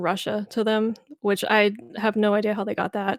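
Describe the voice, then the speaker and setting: Speech comes at a fairly quick pace with a slight Southern US accent. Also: woman. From US South, Memphis, Tennessee. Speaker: reaction video creator. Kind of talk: casual chat.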